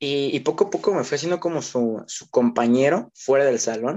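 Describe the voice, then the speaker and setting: At a moderate pace, the speaker uses an ordinary speaking voice with ordinary pitch variation. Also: man. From Mexico. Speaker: teacher, podcast co-host. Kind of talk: casual chat.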